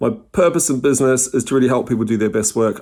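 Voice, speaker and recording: A man with a New Zealand accent. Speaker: company CEO. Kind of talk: conference presentation.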